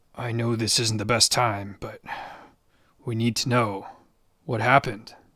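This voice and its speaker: Put-on character voice from a man, raspy and medium-pitched, at a moderate pace with monotone, flat intonation. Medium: read story. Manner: firm, steady, fatherly.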